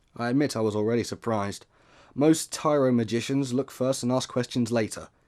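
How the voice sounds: Someone reads in a natural voice.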